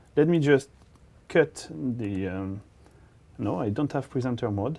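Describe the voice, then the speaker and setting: A man with a French accent speaks very slowly, his intonation lively. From France. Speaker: developer evangelist presenting on web technology. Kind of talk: technical conference presentation. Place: studio. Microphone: lapel.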